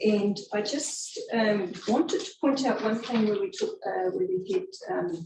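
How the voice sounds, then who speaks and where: Someone speaks at a very slow pace in a New Zealand accent. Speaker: council planner. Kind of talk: public hearing.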